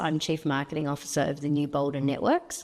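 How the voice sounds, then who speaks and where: Speech moves at a fairly quick pace in a very clean recording with a silent background. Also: woman. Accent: New Zealand. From New Zealand. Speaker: marketing executive. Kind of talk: interview.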